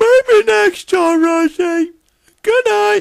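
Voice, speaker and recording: In a put-on character voice, the speaker sounds squeaky at an extremely high pitch, with very wide pitch swings. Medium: machinima.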